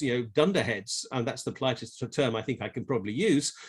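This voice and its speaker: Someone with an English accent talks very fast, with vocal fry. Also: man. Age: 60s. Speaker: tax economist. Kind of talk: conference talk. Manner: halting.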